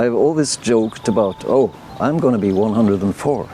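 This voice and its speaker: A man talks fairly quickly while noticeable noise fills the background. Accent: Norwegian. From Norway. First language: Norwegian. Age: 70s. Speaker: retiree living abroad. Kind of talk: interview testimony. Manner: hesitant, with fillers.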